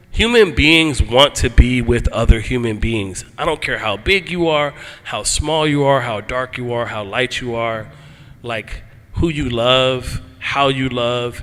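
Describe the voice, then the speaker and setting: Over noticeable background noise, a man with an American accent and medium pitch talks at a fairly slow pace with ordinary pitch variation. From US Northeast, Philadelphia. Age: 50s. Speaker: motorcyclist and antiracism speaker. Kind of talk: panel talk. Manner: casual, animated.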